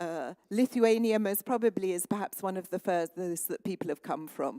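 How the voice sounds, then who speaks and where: A woman with a British accent speaks at a moderate pace, her tone dark and mellow and her intonation lively. The recording is very clean with a silent background, and the sound is dry and close with no echo. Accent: sounds very British. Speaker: conference moderator. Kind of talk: event moderation. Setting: conference hall with audience.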